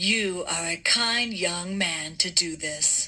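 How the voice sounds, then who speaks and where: A woman uses a put-on character voice, raspy and at a fairly low pitch. She speaks at a very slow pace. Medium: read story.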